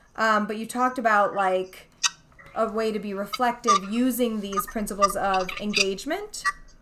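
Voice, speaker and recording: With noticeable noise behind it, the delivery keeps a moderate tempo and a fairly even melody. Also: woman, fairly high pitch for a woman. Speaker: podcast host. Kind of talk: interview.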